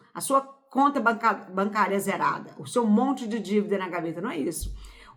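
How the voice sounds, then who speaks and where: Her intonation lively, a woman with a medium pitch talks at a fairly slow pace. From Brazil, Pará, rural interior. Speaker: spiritual self-help youtuber. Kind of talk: motivational talk. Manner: informal, conversational.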